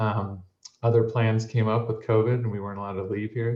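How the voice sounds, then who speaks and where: In a normal speaking voice, a man with an American accent talks at a fairly quick pace and fairly low pitch, with fairly even intonation. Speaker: software sales head. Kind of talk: webinar introduction.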